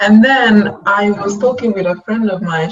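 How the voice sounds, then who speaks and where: A somewhat breathy woman's voice with an Italian accent at a moderate pace. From Italy. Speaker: web designer. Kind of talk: casual chat.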